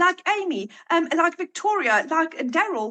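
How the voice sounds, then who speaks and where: A woman speaks in a raised, projected voice at an extremely high pitch with a bright, sharp tone. The sound is dry and close, with no echo. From South Africa. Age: 40s. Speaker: online marketing entrepreneur. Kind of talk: testimony. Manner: hesitant, many fillers.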